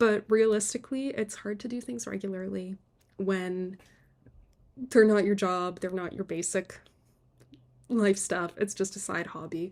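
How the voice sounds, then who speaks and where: On a very clean recording with a silent background, a woman speaks at a moderate pace in a medium pitch with ordinary pitch variation. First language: Polish. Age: 20s. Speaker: book vlogger. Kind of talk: casual vlog talk. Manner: casual, self-deprecating chatty.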